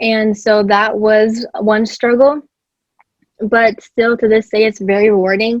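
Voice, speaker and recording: Speaking slowly-ish with a Spanish accent, a woman keeps a fairly high pitch in monotone, flat intonation at a fairly slow pace. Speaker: podcast guest. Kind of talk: casual chat.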